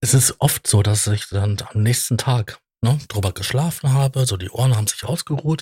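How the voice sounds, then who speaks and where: Heard in a dry, close sound with no echo, a man's dark, mellow and somewhat breathy voice carries ordinary pitch variation. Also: medium pitch for a man, moderate pace. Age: 40s. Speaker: podcast co-host. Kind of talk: casual chat.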